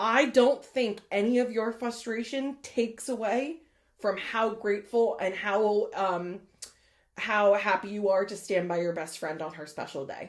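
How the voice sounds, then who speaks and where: A woman speaks at a moderate pace, her loudness swinging widely. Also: very clean recording, silent background. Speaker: podcast co-host. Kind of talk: casual chat.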